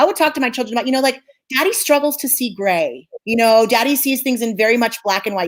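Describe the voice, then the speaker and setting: The woman speaks very fast. Her intonation rises and falls in a lively way. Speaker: clinical psychologist. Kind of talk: interview. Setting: live stream.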